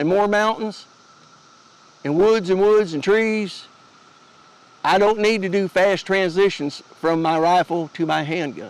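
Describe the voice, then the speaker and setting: Speaking with an Appalachian accent, a man has a high pitch and ordinary pitch variation. His pace is fairly slow. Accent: Appalachian Southern US. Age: 60s. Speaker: homesteader and gear YouTuber. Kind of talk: gear tutorial. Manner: casual, folksy, with hesitations.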